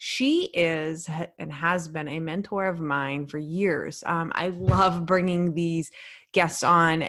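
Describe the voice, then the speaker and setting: A woman's fairly low-pitched voice, a plain, everyday voice. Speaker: police officer, podcast host. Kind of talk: podcast intro.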